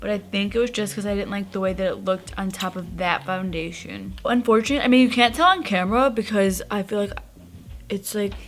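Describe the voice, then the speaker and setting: A woman speaks at a medium pitch and a fairly quick pace. Noticeable background noise runs underneath. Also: ordinary pitch variation. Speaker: beauty YouTuber. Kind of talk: makeup tutorial. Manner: chatty, casual.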